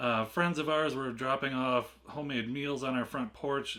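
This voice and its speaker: Fairly slow delivery from a man, bright, sharp tone and ordinary pitch variation. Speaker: unboxing video host. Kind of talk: casual unboxing vlog.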